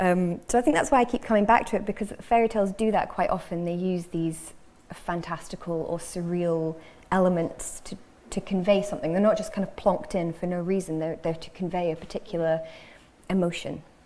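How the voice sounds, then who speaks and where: With a slight Scottish accent, a woman talks at a fairly quick pace in a medium pitch, her tone dark and mellow and her pitch varying in an ordinary way. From northern England, Cheshire. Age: 30s. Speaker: fiction writer. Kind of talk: panel discussion. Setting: stage with audience.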